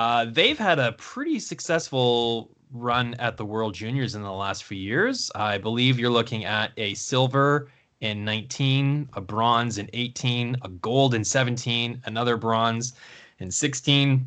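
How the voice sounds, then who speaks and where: At a fairly slow pace, a man with a Canadian accent speaks in a normal speaking voice at a medium pitch, with ordinary pitch variation. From Canada. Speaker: hockey podcast host. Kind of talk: casual chat.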